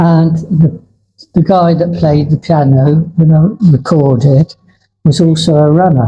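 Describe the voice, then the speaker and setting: The delivery is fairly slow, in a southern English accent with a dark, mellow tone. Loudness stays very even and intonation fairly even. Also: man. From southern England, Poole, Dorset. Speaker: former Olympic marathon runner. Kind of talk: interview conversation. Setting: cafe.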